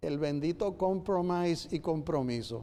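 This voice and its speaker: A man talks at a fairly slow pace in a dark, mellow tone, his pitch varying in an ordinary way. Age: 70s. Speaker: writer and lawyer panelist. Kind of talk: forum talk.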